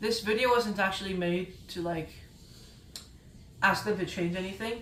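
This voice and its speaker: With audible room echo, a woman talks at a fairly slow pace in a medium pitch, her tone bright and sharp and her intonation fairly even. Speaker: gaming YouTuber. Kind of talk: casual video monologue. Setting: indoor room, recorded video. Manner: slurring speech; halting, self-correcting.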